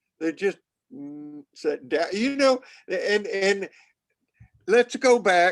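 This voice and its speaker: A man's voice, dry and close with no echo. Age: 80s+. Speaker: pastor. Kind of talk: bible study discussion. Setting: webinar. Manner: repetitive stammering starts.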